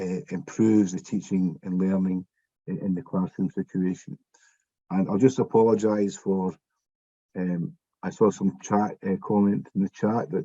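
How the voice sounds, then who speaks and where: A man speaks in a Scottish accent with a very deep, low pitch and ordinary pitch variation. His tone is dark and mellow, and the sound is dry and close with no echo. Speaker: education expert. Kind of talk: panel discussion. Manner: slower than usual.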